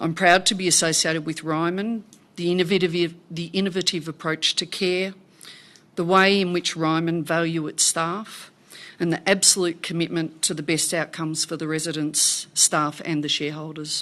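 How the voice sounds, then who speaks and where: In a quiet background, a woman with an Australian accent speaks at a moderate pace, fairly low in pitch and monotone, flat in intonation. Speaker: company director. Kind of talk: formal speech. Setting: annual shareholder meeting.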